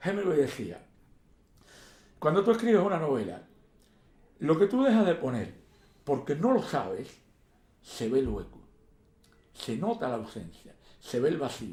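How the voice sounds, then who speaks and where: A man with a dark, mellow tone and vocal fry speaks at a fairly high pitch and a fairly slow pace, with very wide pitch swings and long, frequent pauses. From Cuba. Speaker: poet and historian. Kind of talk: interview answer.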